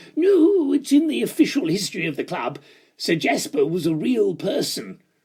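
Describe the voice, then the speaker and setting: A put-on character voice, high in pitch, at a moderate pace. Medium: read story.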